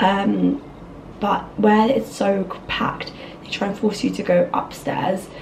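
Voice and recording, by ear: Speaking slowly with fairly even intonation, a woman has a slightly mellow tone over faint background noise. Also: medium pitch for a woman.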